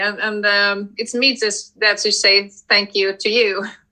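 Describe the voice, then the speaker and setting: At a moderate pace, a woman talks with a Swedish accent. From Sweden, Malmo. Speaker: tarot deck creator. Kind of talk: interview. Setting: live stream. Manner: halting.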